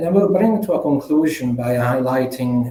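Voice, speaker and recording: A man with an Italian accent, medium pitch, fairly quick pace and ordinary pitch variation, amid noticeable background noise. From Italy. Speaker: management consultant. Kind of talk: conference presentation. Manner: halting.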